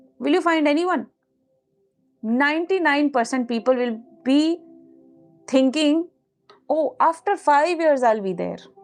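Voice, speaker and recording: A woman's high, animated voice with an Indian accent, fairly slow with long, frequent pauses and ordinary pitch variation, over music in the background. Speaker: manifestation coach. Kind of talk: live stream talk with chat. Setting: live stream.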